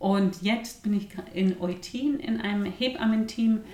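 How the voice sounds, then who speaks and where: Lively in intonation, a woman speaks at a very slow pace with noticeable background noise behind her. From Bavaria, mountain village. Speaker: midwife and hypnobirthing teacher. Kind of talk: podcast interview.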